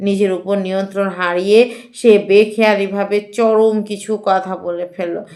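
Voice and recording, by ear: The intonation stays fairly even. The reading aloud is in a natural voice.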